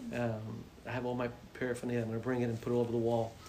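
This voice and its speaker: Delivered at a very fast pace, the speech carries audible room echo. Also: man. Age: 60s. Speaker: high school principal. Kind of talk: interview answers. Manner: animated.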